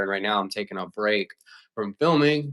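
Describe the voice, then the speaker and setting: A man with an American accent and a fairly low pitch talks at a fairly quick pace in an animated tone with ordinary pitch variation, recorded dry and close with no echo and a silent, very clean background. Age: 20s. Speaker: filmmaker and livestreamer. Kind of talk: casual livestream chat. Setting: livestream. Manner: fast.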